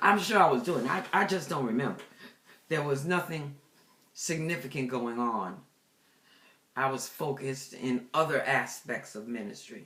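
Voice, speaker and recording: Over audible room echo, a woman with a very deep, low pitch and lively intonation speaks at a moderate pace, leaving long, frequent pauses. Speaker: pastor and deliverance minister. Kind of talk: personal testimony. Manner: casual, conversational with fillers.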